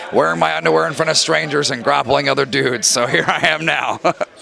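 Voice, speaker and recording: A man with an American accent speaks at a fairly quick pace, his intonation lively. Noticeable background noise sits under his voice. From Rhode Island, US. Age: 20s. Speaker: professional wrestler. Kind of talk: backstage interview. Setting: backstage at wrestling show.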